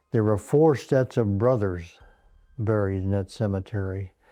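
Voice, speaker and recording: Backed by music in the background, a man with a fairly low pitch talks at a moderate pace with ordinary pitch variation. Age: 100s, very old. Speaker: war veteran. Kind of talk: interview.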